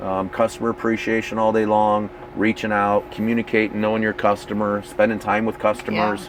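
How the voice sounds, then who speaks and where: Amid noticeable background noise, a man talks fairly quickly in a fairly low, monotone voice with flat intonation and hardly any pauses. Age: 50s. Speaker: RV company division manager. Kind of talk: casual interview. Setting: owners rally event.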